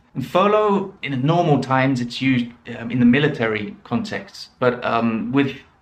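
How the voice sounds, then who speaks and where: The man's intonation is lively while noticeable noise sounds in the background. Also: medium pitch for a man. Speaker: English teacher. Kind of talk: pronunciation lesson to camera. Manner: slow, clear.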